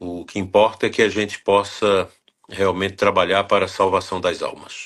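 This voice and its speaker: Against a quiet background, a man speaks at a moderate pace. His pitch is fairly low. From Brazil, northern Goiás. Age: 60s. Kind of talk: interview.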